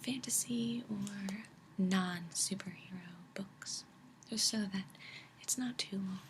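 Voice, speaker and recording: A soft-spoken woman talks at a very slow pace. There is noticeable background noise. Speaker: ASMR creator. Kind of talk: casual talk to camera about comics.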